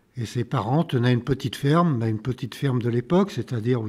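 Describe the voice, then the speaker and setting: A man's dark, mellow, somewhat breathy voice at a medium pitch, with ordinary pitch variation. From France, Lyon area (Vaugneray). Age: 80s+. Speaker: retired local official recounting village history. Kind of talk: interview testimony. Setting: town council chamber. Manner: halting.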